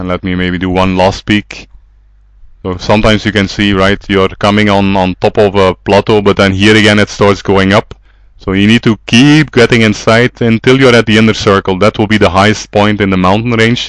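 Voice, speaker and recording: An ordinary speaking voice from a man with a fairly low pitch, fairly even intonation and a fairly quick pace, in a dry, close sound with no echo. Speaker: trekking club organizer teaching navigation. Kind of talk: tutorial.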